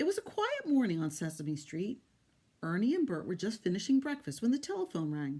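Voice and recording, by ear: Someone reads aloud in a natural voice.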